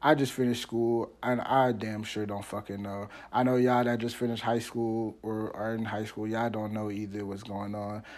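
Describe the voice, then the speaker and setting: Delivered at a moderate pace in a flat monotone. There are hardly any pauses. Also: man, medium pitch for a man. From Washington DC area, Maryland. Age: 20s. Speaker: podcast host. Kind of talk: casual monologue. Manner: rambling, halting; stutter.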